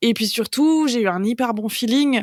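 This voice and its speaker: Recorded dry and close with no echo, a woman talks at a moderate pace. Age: 30s. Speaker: comic book author, cancer survivor. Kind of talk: podcast interview testimony. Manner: casual, hesitant with many fillers.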